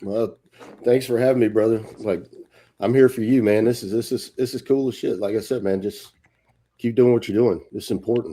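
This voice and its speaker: With a Louisiana accent, a man speaks in a dark, mellow tone and fairly even intonation. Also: medium pitch for a man, moderate pace. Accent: Louisiana Southern US. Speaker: retired army sergeant major, actor. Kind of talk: casual chat.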